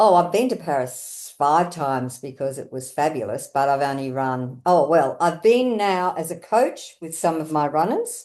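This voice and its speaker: Over a quiet background, a woman with an Australian accent talks at a moderate pace, her fairly low pitch shaped by lively intonation. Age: 70s. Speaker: running coach. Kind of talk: casual interview.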